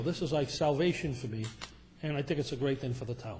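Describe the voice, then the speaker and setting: The man's voice is somewhat breathy. He moves at a fairly quick pace. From Rhode Island, North Providence. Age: 60s. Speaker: property developer. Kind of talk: public meeting presentation. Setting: town council meeting. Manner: halting.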